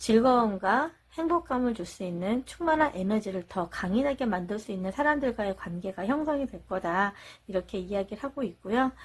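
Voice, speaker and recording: A somewhat breathy woman's voice, fairly high-pitched, with lively intonation and a moderate pace. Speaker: tarot reader. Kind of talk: tarot reading monologue.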